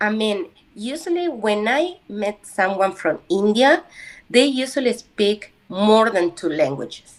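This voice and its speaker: The speaker has a Spanish accent and a fairly slow pace. The pitch swings very widely. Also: woman, fairly high pitch for a woman. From Uruguay. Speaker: language student. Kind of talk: casual chat. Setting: video call. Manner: halting.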